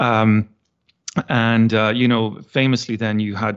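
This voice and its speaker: A man with an American accent talks at a moderate pace in a fairly low, monotone voice with flat intonation. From Ireland. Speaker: political science professor and campaign volunteer. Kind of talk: interview conversation.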